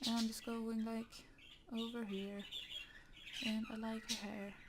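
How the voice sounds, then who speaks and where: A woman speaks in a somewhat breathy voice with a monotone, flat intonation. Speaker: digital artist. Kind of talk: casual talk while drawing. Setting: home, birds chirping in background. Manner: rambling, hesitant.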